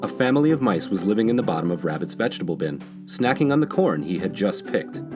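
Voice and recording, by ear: Over clear music in the background, a man with a low pitch talks at a fast pace with big pitch swings.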